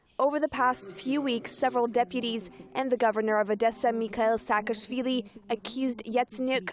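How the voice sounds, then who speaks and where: In a dry, close sound with no echo, a woman uses a normal speaking voice at a moderate pace with fairly even intonation. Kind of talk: TV news narration.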